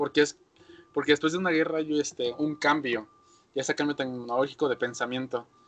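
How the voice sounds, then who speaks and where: A man talks at a fairly quick pace in a Mexican accent. Music plays in the background. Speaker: podcast host. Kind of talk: casual chat.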